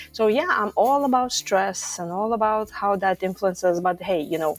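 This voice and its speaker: Someone with a Lithuanian accent talks at a fairly quick pace with lively intonation over music in the background. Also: woman. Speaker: stress management coach. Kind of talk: podcast interview.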